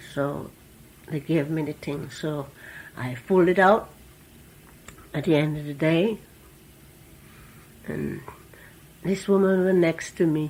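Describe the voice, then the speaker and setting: A woman with an Antiguan accent talks at a fairly slow pace in a very deep, low pitch, with ordinary pitch variation and long, frequent pauses. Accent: Antiguan Caribbean English. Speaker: former factory worker, immigrant. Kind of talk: oral history interview answer.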